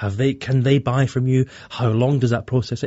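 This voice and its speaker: The man's voice sounds somewhat breathy. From Scotland. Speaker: bank digital director. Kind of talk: interview.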